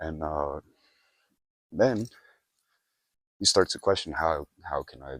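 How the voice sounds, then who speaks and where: A man with a very deep, low pitch and vocal fry speaks at a very slow pace with long, frequent pauses, big swings in loudness and ordinary pitch variation, in a dry, close sound with no echo. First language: Portuguese. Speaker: vlogger. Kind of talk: casual vlog monologue. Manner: halting, self-correcting.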